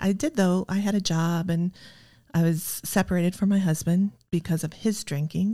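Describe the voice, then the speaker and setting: At a moderate pace, a woman with a fairly low pitch and a dark, mellow tone speaks with ordinary pitch variation on a very clean recording with a silent background. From US Midwest, Iowa. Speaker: recovering alcoholic. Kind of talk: testimony.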